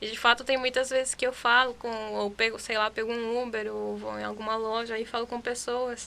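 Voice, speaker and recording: At a fairly quick pace, a woman speaks in a fairly high pitch with a bright, sharp tone and monotone, flat intonation. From Chile. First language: Spanish (speaking Portuguese). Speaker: podcast guest. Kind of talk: casual chat.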